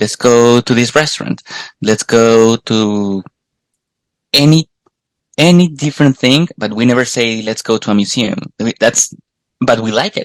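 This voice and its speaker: A man with a Colombian accent talks at a medium pitch and a fairly slow pace, leaving long, frequent pauses. His pitch varies in an ordinary way, and the sound is dry and close with no echo. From Colombia, Bogota. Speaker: podcast host guest. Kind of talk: casual chat. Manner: halting, repeats words.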